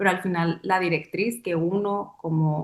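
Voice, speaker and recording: At a fairly slow pace and medium pitch, a woman speaks in a plain, everyday voice with fairly even intonation. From Mexico, Sonora. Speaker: dancer and choreographer. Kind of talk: interview. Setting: webcast. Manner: reflective, with many fillers.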